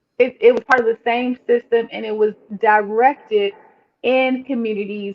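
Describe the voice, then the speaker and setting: In an American accent, a woman with an unremarkable speaking voice talks at a fairly high pitch and moderate pace with fairly even intonation. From Washington DC, Northwest. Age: 40s. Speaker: licensed therapist. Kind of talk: casual chat.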